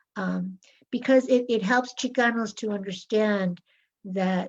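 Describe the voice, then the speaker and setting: With an American accent, a woman speaks at a moderate pace in a somewhat breathy voice with fairly even intonation over a quiet background. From Los Angeles, US. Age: 60s. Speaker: author. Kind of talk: interview talk.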